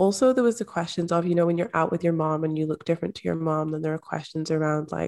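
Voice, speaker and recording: A woman with a Scottish accent has a fairly low pitch and a dark, mellow tone. Her ordinary pitch variation comes through on a very clean recording with a silent background. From rural Scotland. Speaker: manifestation and mindset coach. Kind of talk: interview conversation.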